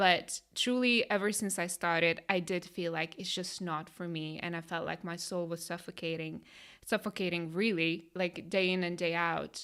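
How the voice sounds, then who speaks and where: With a Lithuanian accent, the speaker keeps a moderate pace on a very clean recording with a silent background. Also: woman, fairly low pitch for a woman, fairly even intonation. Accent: Lithuanian accent, noticeable. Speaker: life coach, podcast co-host. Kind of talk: casual chat.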